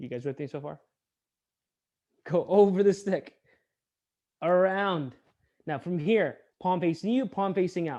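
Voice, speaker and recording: Speech comes at a fairly slow pace, with long, frequent pauses. The background is quiet. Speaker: martial arts instructor. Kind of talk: online class instruction.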